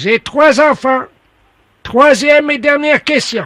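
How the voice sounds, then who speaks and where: A man's put-on, robotic character voice, extremely high in pitch, at a fairly slow pace. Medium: comedy sketch. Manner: mechanical, repetitive, stilted.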